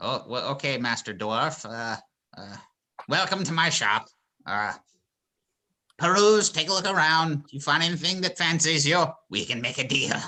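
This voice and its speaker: Using a put-on character voice, a man speaks at a fairly high pitch and a moderate pace with lively intonation and long, frequent pauses. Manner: welcoming, fumbling.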